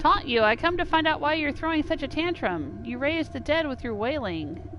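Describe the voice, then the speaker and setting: Over clear background noise, a woman puts on a character voice at a high pitch, going at a fairly quick pace. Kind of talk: melodramatic game voice-acting. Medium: game stream. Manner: dramatic, wailing.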